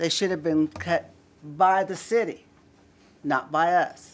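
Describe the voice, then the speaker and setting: A woman at medium pitch, speaking very slowly. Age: 70s. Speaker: public commenter at city council. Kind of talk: public comment at council meeting. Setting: city council chamber. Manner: loud.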